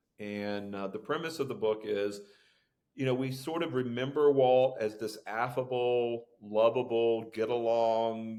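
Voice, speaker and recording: This is a man with an American accent and an ordinary speaking voice, pitched in the medium range with fairly even intonation. He talks at a fairly slow pace in a very clean recording with a silent background. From Florida. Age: 60s. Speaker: author and keynote speaker. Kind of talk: podcast interview.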